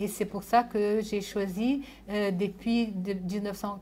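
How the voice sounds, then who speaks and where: Speaking at a very slow pace, a woman uses a medium pitch, fairly even intonation, and a dark, mellow tone. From Brazil, born in Japan. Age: 70s. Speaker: sociologist. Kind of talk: lecture. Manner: halting, many hesitations.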